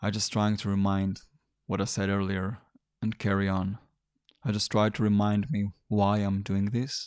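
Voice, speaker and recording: A man's fairly low voice in monotone, flat intonation, with long, frequent pauses, very even loudness, and a very clean recording with a silent background. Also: moderate pace. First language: not English. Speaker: fitness podcast host and personal trainer. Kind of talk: motivational monologue. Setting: solo recording.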